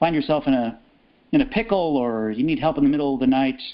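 Here is a man with an ordinary speaking voice. He talks at a fairly quick pace with lively intonation. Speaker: podcast interviewer. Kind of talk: interview.

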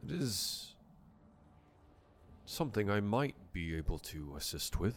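A man puts on a character voice. He delivers it at a fairly slow pace. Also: fairly low pitch for a man. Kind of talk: dignified fantasy speech. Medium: actual play. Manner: formal, measured.

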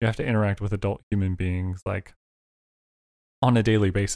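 A man with a fairly low pitch and a dark, mellow tone speaks at a fairly quick pace with fairly even intonation, in a dry, close sound with no echo. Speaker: host's husband, father. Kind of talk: casual chat.

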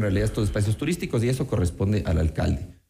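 With vocal fry running through his dark, mellow tone, a man speaks. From Ecuador, Quito. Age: 30s. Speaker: city council candidate. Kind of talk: radio interview.

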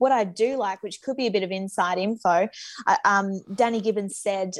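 A woman with a plain, everyday voice speaks at a moderate pace. Her intonation stays fairly even. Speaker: co-host.

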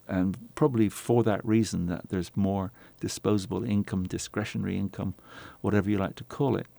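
A man with a British accent speaks at a moderate pace in a fairly low, dark, mellow voice with fairly even intonation, on a very clean recording with a silent background. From England. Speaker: winemaker, former doctor. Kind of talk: interview.

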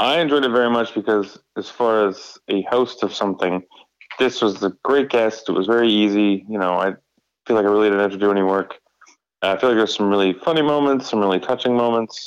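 Here is an unremarkable speaking voice from a man with a fairly low pitch. He moves at a fairly quick pace with ordinary pitch variation. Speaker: podcast host. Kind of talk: casual chat. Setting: phone call. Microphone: phone audio.

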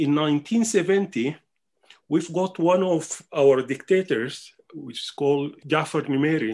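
A man with a Sudanese accent, fairly high in pitch with ordinary variation, at a very slow pace. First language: Arabic. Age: 60s. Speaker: musician and scholar. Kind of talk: interview. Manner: halting.

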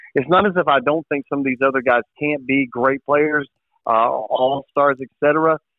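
A man with an American accent talks at a fairly slow pace in an unremarkable speaking voice. His pitch is fairly high and his intonation fairly even. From eastern North Carolina. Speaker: sports radio host. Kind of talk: casual chat.

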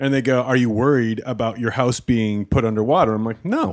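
The man has a normal speaking voice, medium in pitch. His pitch variation is ordinary, and the recording is very clean with a silent background. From Canada. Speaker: stand-up comedian. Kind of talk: casual chat. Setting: studio.

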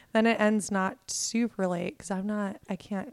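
A woman with an American accent and an ordinary speaking voice, at a moderate pace, with fairly even intonation. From Ohio, US. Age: 20s. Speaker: stand-up comedian. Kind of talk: casual chat.

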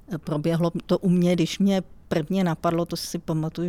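Somewhat breathy and dark, mellow in tone, a woman speaks at a moderate pace with monotone, flat intonation. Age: 50s. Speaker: IT analyst. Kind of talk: interview.

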